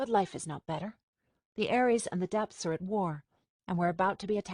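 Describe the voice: Someone reads aloud plainly with ordinary pitch variation against a quiet background.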